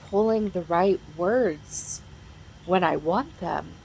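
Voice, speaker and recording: Noticeable background noise accompanies a woman talking at a very slow pace. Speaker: mental health vlogger. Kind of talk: casual chat. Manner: halting.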